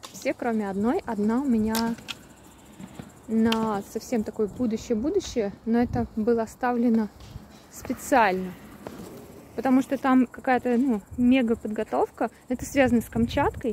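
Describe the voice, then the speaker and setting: Over light background noise, a fairly slow speaker with fairly even intonation leaves long, frequent pauses in a dry recording with no echo. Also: woman. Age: 30s. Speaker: travel vlogger; vlogger. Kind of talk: monologue vlog. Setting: outdoors, walking. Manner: casual, hesitant. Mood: reflective, thoughtful. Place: open country. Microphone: phone near.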